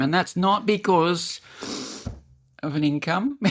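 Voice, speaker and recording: This woman talks in an animated tone with lively intonation. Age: 60s. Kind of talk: casual chat.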